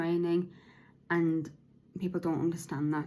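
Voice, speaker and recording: Flat and monotone, a woman with a British accent speaks at a fairly low pitch. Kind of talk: podcast monologue, partly read from notes. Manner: slurred, halting speech.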